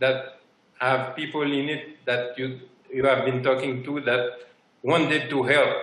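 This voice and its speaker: Noticeable background noise and audible room echo surround a man whose fairly high voice moves at a fairly slow pace with monotone, flat intonation. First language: French or Haitian Creole. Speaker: sourcing partner. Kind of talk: conference interview.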